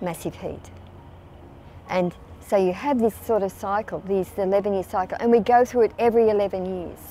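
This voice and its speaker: A woman of medium pitch with an Australian accent, fairly even intonation, and music in the background. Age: 80s+. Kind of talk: interview answer. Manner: conversational, hesitant.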